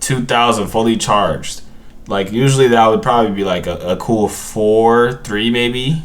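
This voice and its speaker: A man speaks in a relaxed tone. The room echo is audible, and there is noticeable background noise. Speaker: gaming content creator. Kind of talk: gameplay commentary. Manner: halting, repeats words and self-corrects; casual, relaxed slang.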